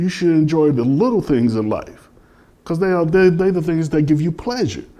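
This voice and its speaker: A man speaks with a high pitch and a dark, mellow tone at a moderate pace. His intonation is lively, and audible room echo is heard. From Chicago. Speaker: philosopher and former chef. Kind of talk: interview in front of audience. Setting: spiritual center hall with audience.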